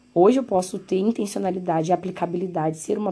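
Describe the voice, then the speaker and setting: Somewhat breathy and dark, mellow in tone, a woman talks at a fairly quick pace with a medium pitch. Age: 20s. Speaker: podcast host. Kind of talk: solo podcast monologue. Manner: casual, conversational.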